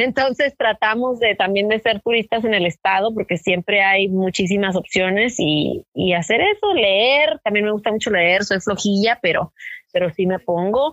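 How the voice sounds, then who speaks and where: Speaking in an ordinary speaking voice at a medium pitch, a woman keeps a moderate pace with hardly any pauses, very even loudness and ordinary pitch variation, in a dry, close sound with no echo. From Mexico, Tijuana (US border). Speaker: journalist and podcaster. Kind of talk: interview. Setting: phone call.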